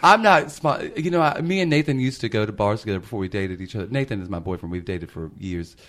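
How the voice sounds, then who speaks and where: A man with a Southern US accent talks at a very fast pace with hardly any pauses. His fairly low pitch moves in very wide swings. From Memphis, Tennessee. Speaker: drag performer and podcast host. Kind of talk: casual chat.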